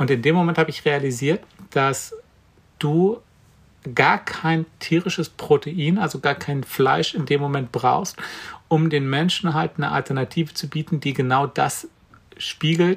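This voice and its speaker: A somewhat breathy man at fairly high pitch, with ordinary pitch variation and a fairly slow pace. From Brandenburg, eastern Germany. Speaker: vegan chef and cookbook author. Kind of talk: interview.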